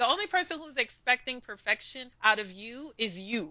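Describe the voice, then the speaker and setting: Talking at a fairly quick pace, a woman with a New York accent has a fairly high pitch and lively intonation. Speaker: language community founder. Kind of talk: interview.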